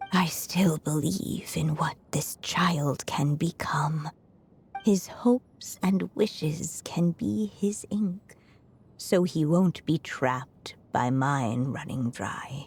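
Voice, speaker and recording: A woman performs a cartoonish character voice with a very deep, low pitch. She talks at a very slow pace with lively intonation. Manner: thoughtful, gentle.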